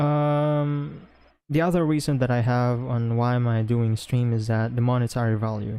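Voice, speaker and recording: A man with a Filipino accent speaks at a moderate pace in a dark, mellow tone, at medium pitch with ordinary pitch variation. His loudness stays very even, and there is audible room echo. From Philippines. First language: Philippine language (not English). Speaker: podcast co-host and streamer. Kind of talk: casual chat. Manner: halting, many fillers.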